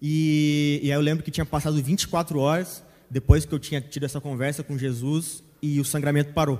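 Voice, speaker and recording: Recorded very cleanly against a silent background, a man talks at a moderate pace with a fairly high pitch and monotone, flat intonation. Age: 20s. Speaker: church member. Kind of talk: testimony.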